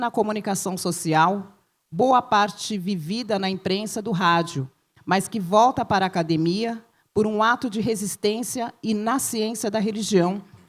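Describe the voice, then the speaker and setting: With a plain, everyday voice, a woman of medium pitch speaks at a fairly slow pace with ordinary pitch variation on a very clean recording with a silent background. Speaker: professor. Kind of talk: reading aloud.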